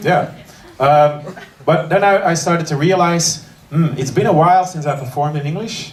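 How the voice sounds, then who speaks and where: Amid noticeable background noise and audible room echo, a man with an Antwerp accent talks at a fairly quick pace in a fairly high pitch with ordinary pitch variation. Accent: Flemish Belgian (Antwerp). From Belgium, Antwerp. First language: Dutch. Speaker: comedian. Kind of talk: stand-up. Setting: stage with audience. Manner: halting.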